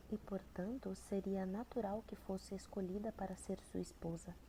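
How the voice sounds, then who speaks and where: Soft-spoken, somewhat breathy woman at medium pitch, dark, mellow in tone, with fairly even intonation. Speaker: ASMR creator. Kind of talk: audiobook reading of a novel.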